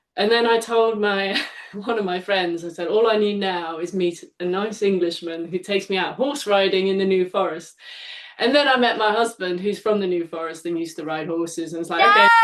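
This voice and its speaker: Speaking with a slight Dutch accent, a woman uses a medium pitch and ordinary pitch variation. Her pace is fairly quick, with noticeable background noise behind her. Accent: faint Dutch. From Netherlands. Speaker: live event artist. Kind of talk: casual chat.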